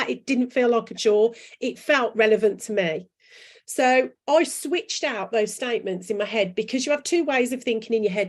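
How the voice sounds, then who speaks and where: A woman with a strong Brummie accent, fairly high pitch, lively intonation and a moderate pace. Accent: strong Brummie (Birmingham). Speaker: branding coach and author. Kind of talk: interview chat. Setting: live video chat. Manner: animated.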